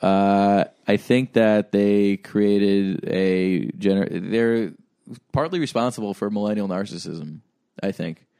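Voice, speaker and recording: A man with a dark, mellow tone talks at a fairly slow pace with ordinary pitch variation, the sound dry and close with no echo. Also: fairly low pitch for a man. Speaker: podcast host. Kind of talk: casual chat. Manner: animated.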